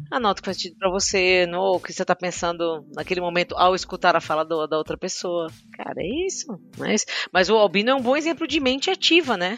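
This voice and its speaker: At a fairly quick pace, a woman of medium pitch talks with lively intonation. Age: 40s. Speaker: agile coach / product leader. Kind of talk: interview. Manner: halting.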